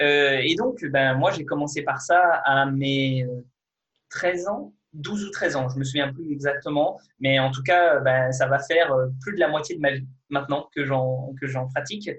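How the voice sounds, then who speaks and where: An unremarkable speaking voice from a man, fairly high in pitch, with fairly even intonation and a fairly slow pace. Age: 20s. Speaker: fitness video creator and kendo athlete. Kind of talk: interview. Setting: video call.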